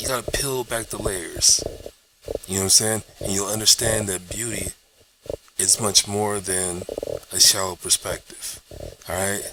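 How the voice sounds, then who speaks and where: A man's moderately paced voice with fairly even intonation and long, frequent pauses, over noticeable background noise. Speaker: YouTuber. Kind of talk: casual vlog monologue. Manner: casual, repetitive, halting at times.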